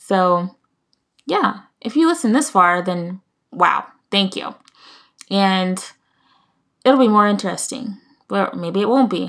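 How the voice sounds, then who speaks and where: A woman with an American accent speaks at a very slow pace with a medium pitch, lively intonation, and long, frequent pauses. The recording is very clean, with a silent background. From United States. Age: 20s. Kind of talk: casual monologue. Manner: halting.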